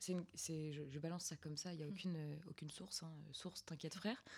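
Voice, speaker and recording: In a normal speaking voice, a woman talks at a fairly quick pace with fairly even intonation. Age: 20s. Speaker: student podcast host. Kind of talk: casual chat.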